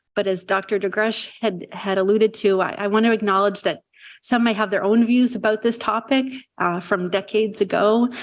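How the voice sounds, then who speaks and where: Speaking at a fairly quick pace, a woman keeps a medium pitch, very even loudness and a monotone, flat intonation. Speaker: psychiatry resident. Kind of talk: lecture. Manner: soft-spoken.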